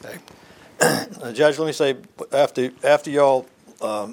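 Noticeable background noise behind a man at a moderate pace with ordinary pitch variation. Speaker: oral history interviewer. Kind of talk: interview. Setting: judge's chambers interview.

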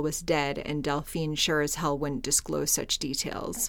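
Against a silent background on a very clean recording, a woman speaks at a moderate pace in a dramatic, serious tone. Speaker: podcast host. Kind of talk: true-crime narration. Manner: serious, measured storytelling; dramatic, steady reading pace.

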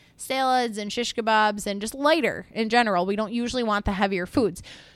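A woman speaks in an animated tone with a fairly high pitch and ordinary pitch variation. The recording is very clean, with a silent background. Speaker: podcast host and personal trainer. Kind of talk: solo podcast monologue. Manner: fast.

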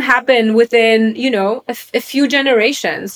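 A woman's fairly high-pitched voice with a Polish accent. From Poland, Krakow. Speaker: venture capital investor. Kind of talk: interview.

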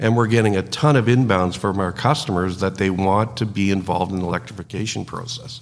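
Noticeable background noise surrounds a man with a Canadian accent. He talks at a very fast pace in a fairly low pitch with ordinary pitch variation. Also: hardly any pauses. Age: 60s. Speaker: trucking company executive, former mechanic. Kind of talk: interview.

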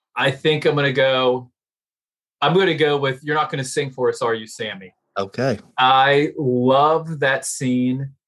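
In a plain, everyday voice, the speaker goes at a fairly slow pace with ordinary pitch variation, in a very clean recording with a silent background. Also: man, fairly high pitch for a man. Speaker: co-host. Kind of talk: casual banter, mock sports commentary.

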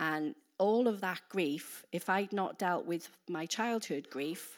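In a Welsh accent, the speaker uses ordinary pitch variation on a very clean recording with a silent background. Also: woman. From Wales. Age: 50s. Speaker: preacher. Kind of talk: sermon. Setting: church.

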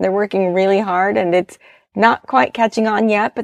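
A woman talks at a fairly quick pace in an ordinary speaking voice, medium in pitch. The sound is dry and close with no echo, over a quiet background. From US South, Florida (Orlando suburbs). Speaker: life coach and podcast host. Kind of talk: solo podcast monologue. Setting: home recording in a closet.

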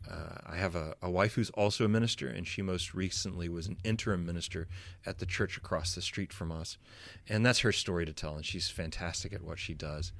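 A man with an American accent speaks at a fairly quick pace in a very deep, low pitch with ordinary pitch variation, on a very clean recording with a silent background. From western North Carolina and eastern Tennessee. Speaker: pastor. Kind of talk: casual interview.

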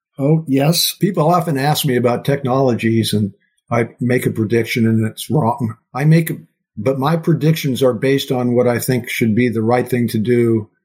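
A somewhat breathy, medium-pitched male voice with an American accent, at a moderate pace with ordinary pitch variation and very even loudness, on a very clean recording with a silent background. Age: 70s. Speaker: neurosurgeon and professor. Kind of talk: interview.

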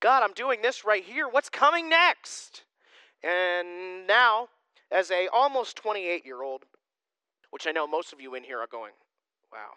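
In a raised, projected voice, a man speaks fairly slowly with a high pitch, a bright, sharp tone, very wide pitch swings and big swings in loudness. He leaves long, frequent pauses, and the sound is dry and close with no echo. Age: 20s. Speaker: pastor. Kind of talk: sermon. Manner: casual conversational.

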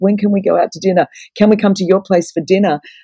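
A woman with a medium pitch talks at a fairly quick pace and with fairly even intonation. Her voice is somewhat breathy, and the sound is dry and close with no echo. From Australia. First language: Greek. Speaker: evangelist and author. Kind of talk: casual interview.

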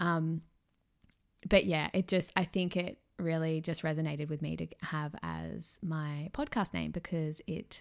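Against a very clean recording with a silent background, a woman with a strong Australian accent speaks at a moderate pace and a fairly low pitch. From Australia, Melbourne. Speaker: podcast host, mindset coach. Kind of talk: casual solo monologue.

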